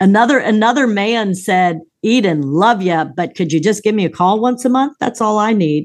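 With an ordinary speaking voice, a woman at medium pitch uses lively intonation at a moderate pace with hardly any pauses. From US East Coast, moved often. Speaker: executive coach and business professor. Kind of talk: interview conversation.

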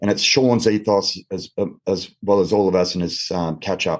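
His pitch sits fairly low for a man. He talks in an Australian accent. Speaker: former police officer. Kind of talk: panel discussion. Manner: halting, many fillers.

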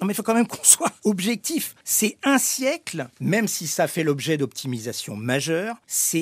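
A man with a high voice talks in an animated tone at a fairly slow pace, his pitch swinging very widely, on a very clean recording with a silent background and a dry, close sound with no echo. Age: 60s. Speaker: former airline executive. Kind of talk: interview.

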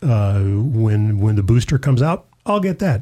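The voice belongs to a man and is somewhat breathy. Its tone is dark and mellow. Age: 60s. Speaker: pastor. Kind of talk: religious discussion show.

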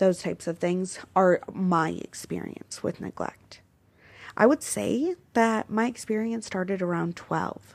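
A woman speaks at a medium pitch and a fairly slow pace, in a plain, everyday voice with ordinary pitch variation. The recording is very clean, with a silent background. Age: 20s. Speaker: podcast host. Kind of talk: personal testimony.

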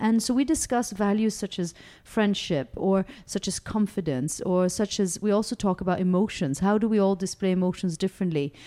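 Medium in pitch with ordinary variation, a woman speaks at a fairly quick pace in a dark, mellow tone and very even loudness, recorded very cleanly over a silent background. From raised in France, Monaco and Switzerland, Danish. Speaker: non-profit director. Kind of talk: interview. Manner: hesitant, many fillers.

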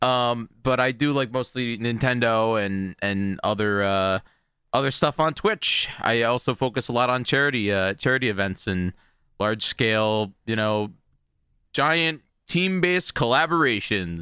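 In a very clean recording with a silent background, a man at a medium pitch speaks with lively intonation. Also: fairly slow pace. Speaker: video game streamer. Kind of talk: casual chat. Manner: loud; animated.

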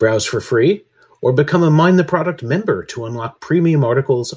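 Against a quiet background, a man talks at a moderate pace in a somewhat breathy voice with very wide pitch swings. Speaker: podcast host. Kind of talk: podcast hosting, conversational.

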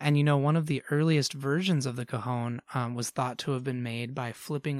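Here is a man with an ordinary speaking voice at a medium pitch and fairly even intonation. The sound is dry and close with no echo, on a very clean recording with a silent background. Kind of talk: friendly educational explanation for kids.

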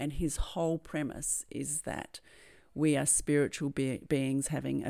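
A woman with an Australian accent and a very deep, low pitch speaks at a fairly slow pace in a dark, mellow tone with fairly even intonation, in a very clean recording with a silent background. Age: 50s. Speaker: podcast host, NLP and hypnosis coach. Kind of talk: personal storytelling monologue. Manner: halting, repeats words.

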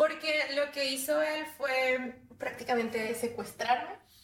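A woman at a very slow pace with ordinary pitch variation, noticeable background noise and audible room echo. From Mexico, Monterrey. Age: 30s. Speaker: abuse survivor telling her story. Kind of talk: personal testimony interview.

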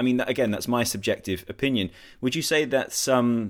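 Over a very clean recording with a silent background, a man talks at a moderate pace and medium pitch in a plain, everyday voice. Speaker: podcast host. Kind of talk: scripted intro then casual interview. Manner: polished, upbeat radio-presenter patter.

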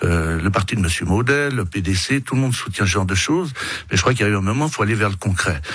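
A man's fairly low voice at a very fast pace, very even in loudness, with audible room echo and noticeable background noise. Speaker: politician, election candidate. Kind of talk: radio interview. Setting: radio studio.

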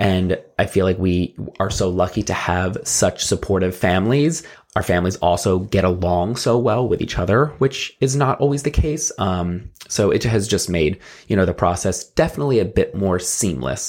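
At a moderate pace, a man with a fairly low pitch and lively intonation speaks at very even loudness, in a very clean recording with a silent background. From South Jersey. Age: 30s. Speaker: podcast co-host. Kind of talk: casual chat.

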